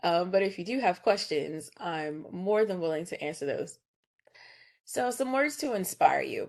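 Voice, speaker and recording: With a plain, everyday voice, a woman talks at a medium pitch and a fairly slow pace, her intonation lively against a quiet background. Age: 30s. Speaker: choir director and music educator. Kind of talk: presentation.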